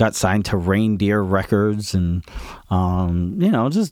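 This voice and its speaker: A plain, everyday voice in an American accent, with a fairly slow pace, ordinary pitch variation and very even loudness. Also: man. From Woodstock, New York, US. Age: 40s. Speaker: drummer. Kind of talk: casual chat.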